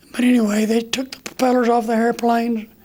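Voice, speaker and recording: A man with an American accent speaks at an extremely high pitch in a monotone, flat intonation, with noticeable background noise. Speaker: war veteran. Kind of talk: interview answer.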